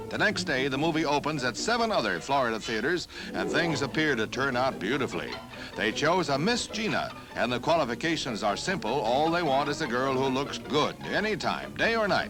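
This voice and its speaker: A man speaks in an upbeat tone with lively intonation and a fairly high pitch, keeping very even loudness at a fairly quick pace. Music plays in the background. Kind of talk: newsreel narration.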